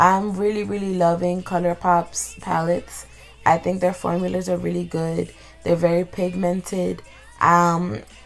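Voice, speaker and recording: Fairly slow speech over music in the background. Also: woman. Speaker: beauty vlogger. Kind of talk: makeup tutorial voiceover. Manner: casual, chatty.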